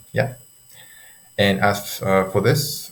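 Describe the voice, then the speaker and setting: Speaking at a fairly slow pace with a non-native accent, a man uses a fairly low pitch with vocal fry. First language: not English. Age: 20s. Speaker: sleep coach for students. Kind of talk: tutorial. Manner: halting, many fillers. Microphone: poor audio quality.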